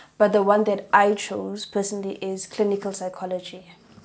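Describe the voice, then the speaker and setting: With a dark, mellow tone, a woman speaks at a medium pitch and a moderate pace, her intonation fairly even. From South Africa, Northern Cape. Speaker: psychology student. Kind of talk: interview.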